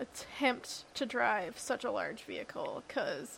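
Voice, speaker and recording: Mumbling at a fairly slow pace. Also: woman. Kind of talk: casual banter. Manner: mumbles.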